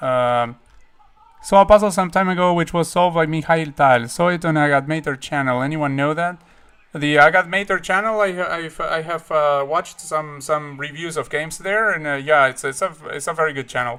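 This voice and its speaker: A man speaks with a Spanish accent in a bright, sharp tone. The recording is very clean, with a silent background. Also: fairly high pitch for a man, ordinary pitch variation, moderate pace. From Uruguay. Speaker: chess streamer. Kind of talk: live stream chat. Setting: live stream. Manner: halting, many fillers and repeats.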